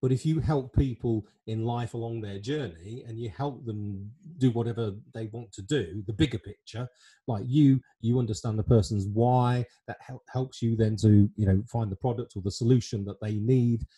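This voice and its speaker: In an English accent, the speaker uses a dark, mellow tone that is somewhat breathy, at a moderate pace. Intonation stays fairly even against a quiet background. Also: man. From England. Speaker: online show host and life planner; online show host. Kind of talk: casual interview chat. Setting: video call. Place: home room. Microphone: studio mic.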